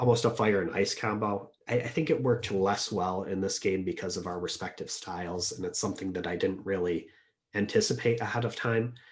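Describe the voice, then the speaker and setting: A soft-spoken man talks at a fairly quick pace with a fairly low pitch. His pitch varies in an ordinary way against a quiet background. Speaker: Diplomacy tournament player. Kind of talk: interview answer.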